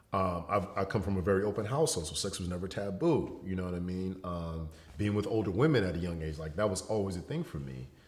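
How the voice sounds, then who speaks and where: With audible room echo, a man with a very deep, low voice talks very fast with lively intonation. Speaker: educator and entertainer, model. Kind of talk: casual interview conversation. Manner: casual, relaxed.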